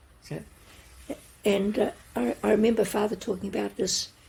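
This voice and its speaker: The woman's voice is dark and mellow, with vocal fry. Her pitch is medium. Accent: New Zealand. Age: 80s+. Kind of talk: interview answer, storytelling.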